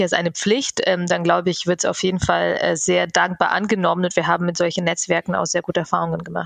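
Talking at a very fast pace is a woman. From Bavaria, Germany (immigrated at 11). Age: 30s. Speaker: network founder, diversity advocate. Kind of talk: interview.

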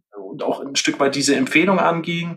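Ordinary pitch variation and a moderate pace shape a man's speech. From Franconia, Germany (Fürth). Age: 30s. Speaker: hearing aid business owner. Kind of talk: interview. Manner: halting, many fillers.

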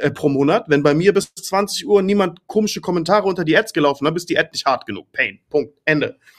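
A man talks at a moderate pace with ordinary pitch variation. He has an unremarkable speaking voice. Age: 30s. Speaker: agency owner and business consultant. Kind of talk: casual chat.

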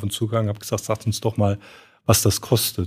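Moderate-paced, somewhat breathy speech from a man with a fairly low pitch and a Saarland accent, on a very clean recording with a silent background. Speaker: fund industry professional, podcast co-host. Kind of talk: casual chat.

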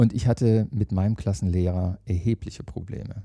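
Dark and mellow in tone, a man's voice moves along at a moderate pace. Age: 50s. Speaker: managing director of a training academy. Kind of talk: interview. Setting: meeting room at company headquarters.

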